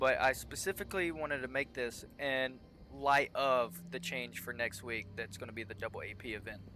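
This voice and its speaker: With vocal fry and a bright, sharp tone, a man at a medium pitch speaks in lively intonation. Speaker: gaming video creator. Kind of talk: gameplay tutorial. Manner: fast.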